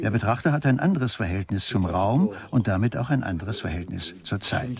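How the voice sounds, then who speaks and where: With lively intonation and a medium pitch, a man speaks at a moderate pace over noticeable background noise. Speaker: voice-over translator for the painter. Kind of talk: interview answer. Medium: dub.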